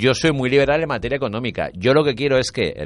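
Against a quiet background, a man speaks fairly quickly at a medium pitch with vocal fry. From Valencia, Spain. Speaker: radio host and writer. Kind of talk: interview.

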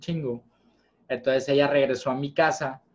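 This man has an ordinary speaking voice, fairly high in pitch, talking at a moderate pace with fairly even intonation. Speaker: podcast host. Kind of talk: casual chat.

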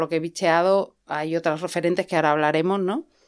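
A woman speaks in a Madrid accent with monotone, flat intonation. The recording is very clean, with a silent background. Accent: Castilian Spanish (Madrid). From Spain, Madrid. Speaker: playwright. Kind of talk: casual chat. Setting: improvised home studio in a fitting room.

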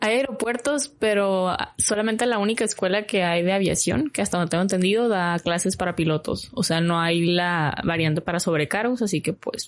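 This woman speaks at a medium pitch and a fairly quick pace with hardly any pauses, her pitch varying in an ordinary way and her loudness staying very even over noticeable background noise. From Mexico, Hermosillo, Sonora. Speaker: flight attendant. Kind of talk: casual interview.

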